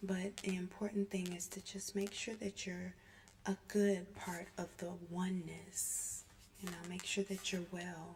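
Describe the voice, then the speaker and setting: Soft-spoken and somewhat breathy, a woman talks at a fairly slow pace in a medium pitch with monotone, flat intonation. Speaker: ASMR channel host, oracle deck reader. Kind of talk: ASMR healing chit chat for sleep, soft-spoken talk to camera.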